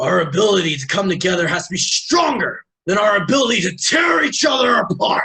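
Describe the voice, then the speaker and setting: Putting on a character voice, a man talks at a fairly quick pace with a high pitch and hardly any pauses. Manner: earnest, impassioned.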